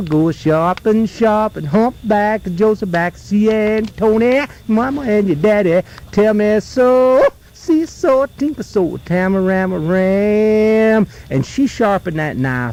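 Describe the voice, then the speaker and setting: A man with an American accent, high-pitched and very slow, over noticeable background noise. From North Carolina. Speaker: folklorist, storyteller. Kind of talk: folk tale told around a campfire. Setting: outdoors, live at a campfire in the woods.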